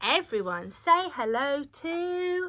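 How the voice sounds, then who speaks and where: Squeaky and pitched extremely high, a woman performs a put-on character voice. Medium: read story.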